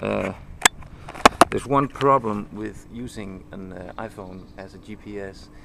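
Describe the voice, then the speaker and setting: A man speaks with a Danish accent. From Denmark. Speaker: motorcycle video blogger. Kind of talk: tutorial. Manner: halting.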